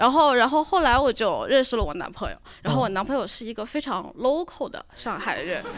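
A woman speaks at a fairly quick pace in a high voice. Her pitch rises and falls very widely. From northern Jiangsu. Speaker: audience member at live recording. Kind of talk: casual live-show chat.

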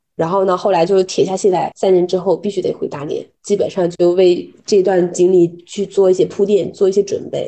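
Speaking at a fairly quick pace, a woman with medium pitch hardly pauses. Her intonation stays monotone and flat. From Dalian, northeast China. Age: 30s. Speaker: corporate culture consultant. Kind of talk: podcast interview.

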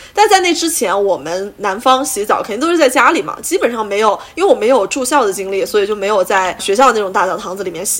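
Very wide pitch swings mark this fairly quick delivery, heard over noticeable background noise. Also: woman. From southern China. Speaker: podcast host. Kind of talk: casual chat.

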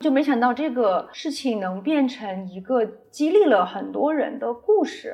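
Calm in tone, a woman with a high pitch speaks at a fairly slow pace with very wide pitch swings. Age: 40s. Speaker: brand founder and designer. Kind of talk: interview. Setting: retail store.

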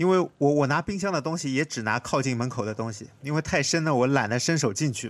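A man's fairly high voice at a very fast pace with hardly any pauses, ordinary pitch variation, and a dry, close sound with no echo in a very clean recording over a silent background. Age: 30s. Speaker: podcast host, designer. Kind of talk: casual chat.

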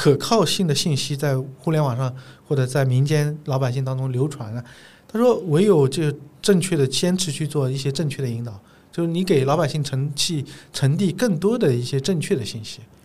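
The man's voice sits fairly high and sounds somewhat breathy, with ordinary pitch variation. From China, Zhejiang. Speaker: gynecologist. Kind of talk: casual interview conversation.

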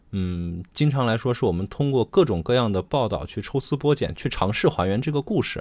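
A man uses an ordinary speaking voice, with lively intonation and a fairly quick pace. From Xi'an, Shaanxi. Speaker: podcast co-host. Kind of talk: casual chat.

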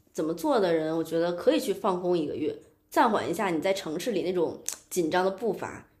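In audible room echo, a woman talks at a fairly quick pace. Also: medium pitch for a woman, ordinary pitch variation. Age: 30s. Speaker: unemployed graphic designer. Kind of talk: casual chat.

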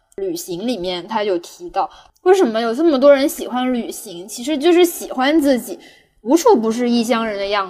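A woman speaks with very wide pitch swings. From Guangdong, southern China. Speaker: podcast host. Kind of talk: casual chat.

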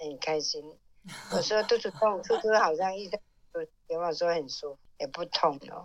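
Loudness rises and falls sharply as the speaker keeps a moderate speed and normal pitch movement. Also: woman. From southern Fujian. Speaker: host's mother. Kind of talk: casual chat.

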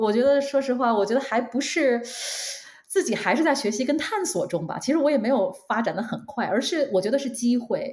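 Pitched high, a woman speaks at a fairly quick pace. Her intonation is lively. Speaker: marketing manager. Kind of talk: casual interview. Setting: online call. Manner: hesitant with fillers.

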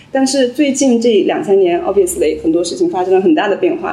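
A woman talks at a fairly quick pace and high pitch, with very wide pitch swings. Noticeable background noise and audible room echo fill the recording. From rural China. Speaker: journalist. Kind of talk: live panel discussion. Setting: stage with audience.

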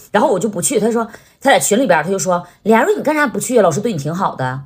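A woman talks at a very fast pace in an animated tone, her fairly high voice swinging very widely in pitch, with vocal fry. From Northeast China. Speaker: comedic short-video creator. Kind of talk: casual chat.

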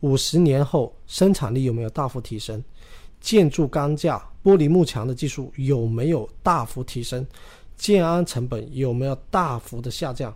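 A man with a fairly high, somewhat breathy voice and ordinary pitch variation speaks at a fairly slow pace in a very clean recording with a silent background. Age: 30s. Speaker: real estate podcast co-host. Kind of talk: casual chat.

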